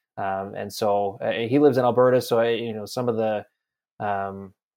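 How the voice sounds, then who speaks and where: A medium-pitched man with a Western Canadian accent at a moderate pace. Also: quiet background. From Campbell River, British Columbia, Canada. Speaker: sports reporter. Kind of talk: interview. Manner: halting, many repetitions.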